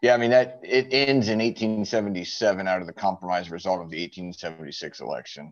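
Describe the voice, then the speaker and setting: In an unremarkable speaking voice, a man talks at a moderate pace in a fairly low pitch with ordinary pitch variation, big swings in loudness and hardly any pauses. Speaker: church group member, history enthusiast. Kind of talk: group discussion. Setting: video call. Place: home room. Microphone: video call.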